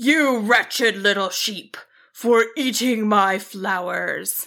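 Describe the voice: In a put-on character voice, a woman speaks slowly at a medium pitch, with vocal fry. Her tone is bright and sharp, and her pitch varies in an ordinary way.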